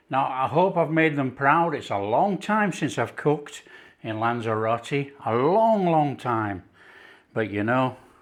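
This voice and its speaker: In a Yorkshire accent, the speaker goes at a fairly slow pace with very wide pitch swings over a quiet background. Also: man, fairly high pitch for a man. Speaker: cooking presenter. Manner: enthusiastic.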